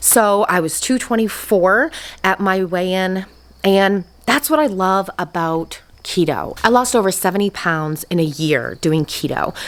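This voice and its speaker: With a normal speaking voice, a woman at medium pitch talks at a fairly slow pace using lively intonation. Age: 40s. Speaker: weight loss vlogger. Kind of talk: casual vlog update. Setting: garage.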